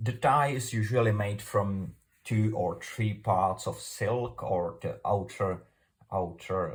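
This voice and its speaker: With a Czech accent, a man speaks very slowly in a fairly low, somewhat breathy voice with ordinary pitch variation. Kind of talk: tutorial. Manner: halting.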